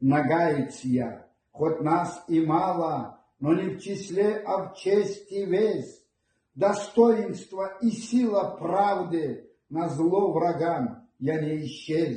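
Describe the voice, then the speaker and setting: Very slowly, a man speaks at a high pitch. His pitch variation is ordinary. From Nogai people, North Caucasus steppe. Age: old. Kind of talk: poetry reading.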